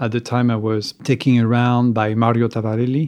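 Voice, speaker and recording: A man with a French accent, medium pitch and a dark, mellow tone, over a quiet background. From France, east of Paris. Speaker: sculptor. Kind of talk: interview. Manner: halting.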